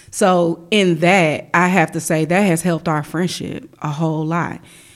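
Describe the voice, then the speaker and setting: This woman has a normal speaking voice with an American accent, fairly low in pitch. She speaks at a fairly slow pace with fairly even intonation. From US Midwest, Chicago. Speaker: church worship director. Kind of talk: testimony.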